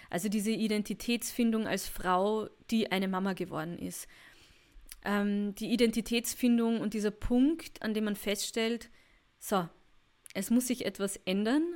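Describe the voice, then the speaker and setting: With long, frequent pauses, a woman talks at a fairly slow pace in a fairly high pitch with ordinary pitch variation. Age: 30s. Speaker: podcast host and women's mentor. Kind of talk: personal podcast monologue.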